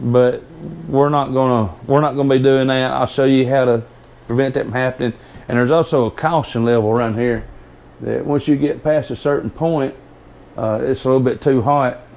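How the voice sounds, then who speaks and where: A man speaks with a strong Southern US accent. His intonation stays fairly even. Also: medium pitch for a man. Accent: strong Southern drawl. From US South. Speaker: homesteader demonstrating canning. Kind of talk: tutorial. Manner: hesitant, stumbling over words; casual, rambling.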